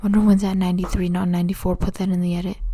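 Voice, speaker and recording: Somewhat breathy, a woman talks in a medium pitch. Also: very clean recording, silent background. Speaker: YouTuber ranking actors. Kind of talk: casual commentary video. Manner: halting, self-correcting.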